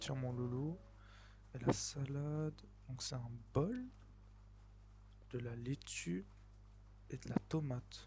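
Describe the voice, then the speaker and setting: A soft-spoken man talks at a very slow pace, leaving long, frequent pauses. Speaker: gaming YouTuber. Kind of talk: let's play commentary.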